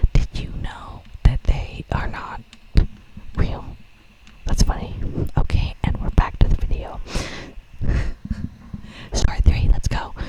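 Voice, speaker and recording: Whispered speech moves fairly slowly, broken by long, frequent pauses, with clearly audible background noise. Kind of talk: whispered ASMR storytelling and reading Reddit posts with casual commentary. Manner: whispered, casual, chatty, joking.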